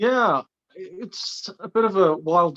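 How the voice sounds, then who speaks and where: A man with an English accent and ordinary pitch variation, dry and close with no echo. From English Midlands, Leicester. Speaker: animal rights activist. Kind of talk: interview.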